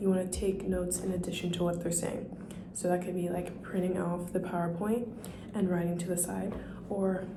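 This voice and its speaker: A soft-spoken woman whispers at a fairly quick pace, with audible room echo around her voice. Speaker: nursing student vlogger. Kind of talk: casual vlog tutorial. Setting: library study room. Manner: whispering.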